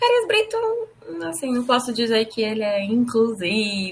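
There is noticeable background noise behind the voice. A woman speaks at a moderate pace. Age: 20s. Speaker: advertising professional. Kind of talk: interview testimony. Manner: hesitant, with filler words.

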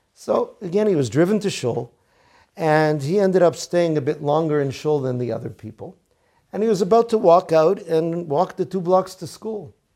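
A man with a fairly high, dark and mellow voice and an American accent, lively in intonation at a moderate pace, on a very clean recording with a silent background. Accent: American English with Yeshivish Hebrew terms. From US, Boston. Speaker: rabbi teaching Torah. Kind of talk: Torah lecture.

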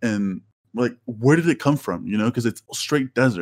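An unremarkable speaking voice from a man at medium pitch, on a very clean recording with a silent background. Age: 20s. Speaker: graduate student. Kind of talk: casual chat.

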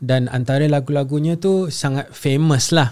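A man's unremarkable speaking voice, fairly slow and with ordinary pitch variation. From Singapore. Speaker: singer-songwriter. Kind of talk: casual interview chat.

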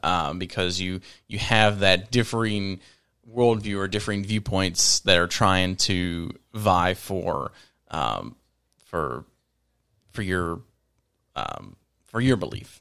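A man with an American accent speaks at a very slow pace with a very deep, low pitch, a bright, sharp tone, ordinary pitch variation, and long, frequent pauses, on a very clean recording with a silent background. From Virginia. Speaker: podcast guest. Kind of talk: casual chat.

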